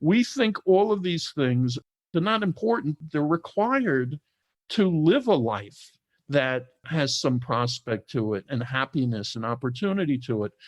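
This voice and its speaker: With a New York accent, a man speaks at a fairly slow pace and a fairly high pitch, his pitch swinging very widely, recorded dry and close with no echo against a quiet background. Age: 60s. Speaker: entrepreneur, formerly incarcerated. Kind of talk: interview conversation.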